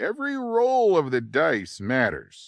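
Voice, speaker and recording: Using a put-on character voice, a man talks at a fairly slow pace, his fairly high pitch carrying a warm tone. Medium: video game. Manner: warm, folksy, chuckling.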